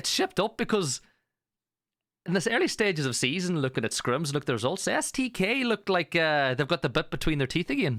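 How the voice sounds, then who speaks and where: On a very clean recording with a silent background and a dry, close sound with no echo, a man with a high pitch talks at a fairly quick pace, using very wide pitch swings at very even loudness. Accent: strong Irish. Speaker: esports caster and interviewer. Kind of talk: interview.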